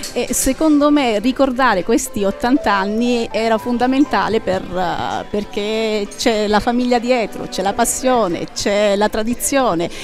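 Clear music runs behind a woman speaking at a fairly slow pace. Her pitch varies in an ordinary way, and the sound is dry with no echo. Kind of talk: interview answer. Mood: proud, warm. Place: cafe. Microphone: headset.

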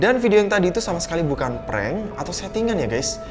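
A man speaks very fast while clear music sounds behind him. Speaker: horror video host. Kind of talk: casual commentary. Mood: storytelling, suspenseful. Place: home room.

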